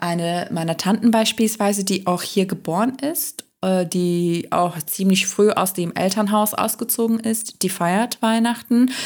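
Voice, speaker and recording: A woman speaks at a fairly slow pace, in a normal speaking voice. Her pitch sits at a medium level and varies in an ordinary way. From Turkey. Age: 30s. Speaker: podcast host and co-host. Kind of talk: casual conversation.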